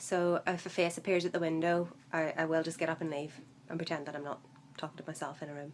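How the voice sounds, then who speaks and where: A woman talks at a fairly quick pace with a Northern Irish accent. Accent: Northern Irish, mild. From Northern Ireland. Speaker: vlogger. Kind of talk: casual vlog. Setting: home room, workmen outside. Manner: hesitant, many fillers.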